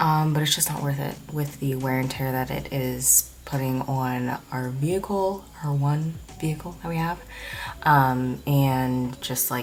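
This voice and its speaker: Soft-spoken and very deep in pitch, a woman talks at a fairly slow pace with fairly even intonation over noticeable background noise. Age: 20s. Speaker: vlogger. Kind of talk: casual vlog chat. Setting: at home at night. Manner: soft-spoken, speaking quietly.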